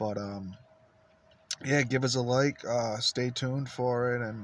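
Recorded in a dry sound with no echo, a man talks fairly slowly at a medium pitch, his intonation monotone and flat. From Rhode Island, Warwick; Rhode Island. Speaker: vlogger, truck hobbyist; vlogger. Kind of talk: casual vlog to camera. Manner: halting, many fillers. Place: car. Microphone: phone near.

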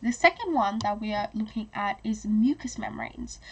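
A woman speaks at a fairly high pitch with ordinary pitch variation.

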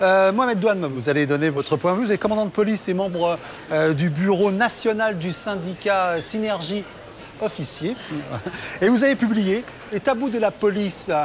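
Against crowd noise in the background, a man with a high pitch talks at a moderate pace with ordinary pitch variation and long, frequent pauses. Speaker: TV host. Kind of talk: interview questions. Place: bar.

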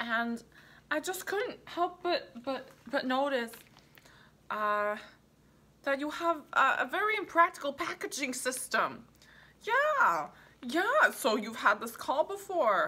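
Speaking very slowly in a raised, projected voice, a woman leaves long, frequent pauses and swings her pitch very widely. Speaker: comic sketch performer. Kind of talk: comedic mock phone call monologue. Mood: exasperated, wry, hesitant.

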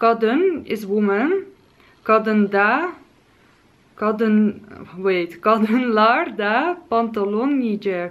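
A woman's fairly high voice with lively intonation at a very slow pace. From Netherlands. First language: Dutch. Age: 20s. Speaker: lifestyle and beauty vlogger. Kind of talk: casual vlog tutorial. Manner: hesitant, frequent filler sounds; cheerful, laughs often. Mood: playful, hesitant when pronouncing. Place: home room.

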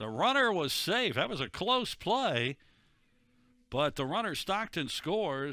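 Captured in a very clean recording with a silent background, a man speaks at a fairly slow pace in a bright, sharp tone with very wide pitch swings. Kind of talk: live commentary. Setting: sports broadcast of a college softball game. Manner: animated.

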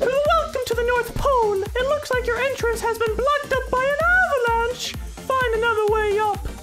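A squeaky, put-on character voice at an extremely high pitch talks at a moderate pace as music plays in the background. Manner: goofy, put-on announcer voice.

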